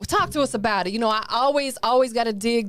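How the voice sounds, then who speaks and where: This woman talks at a very fast pace with an animated tone, a fairly high pitch and a Tennessee accent. The recording is very clean, with a silent background. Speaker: podcast host. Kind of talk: casual interview. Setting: studio.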